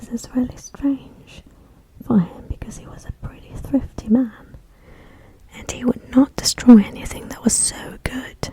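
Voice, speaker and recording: Noticeable background noise fills the clip. Through it, a woman whispers fairly slowly. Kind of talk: ASMR story reading. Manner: soft-spoken, whispered.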